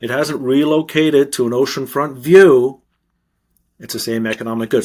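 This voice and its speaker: A man with a Canadian accent, a normal speaking voice, medium pitch, lively intonation and a moderate pace. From Canada. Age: 60s. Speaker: author and investment consultant. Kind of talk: interview.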